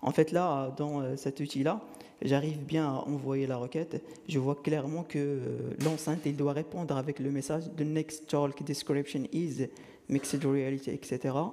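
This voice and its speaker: With a fairly high pitch and a dark, mellow tone, a man speaks at a fairly slow pace in a monotone, flat way. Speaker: conference speaker, software developer. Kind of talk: technical conference talk with live demo. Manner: hesitant, many fillers.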